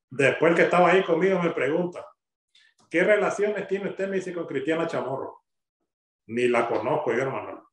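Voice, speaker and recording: Talking at a fairly quick pace with long, frequent pauses, a man speaks in a high voice with ordinary pitch variation. The background is quiet, though room echo is audible. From Nicaragua. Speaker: father of jailed student, denied entry. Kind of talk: recorded testimony interview. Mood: indignant, recounting an ordeal. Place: home room. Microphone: video call.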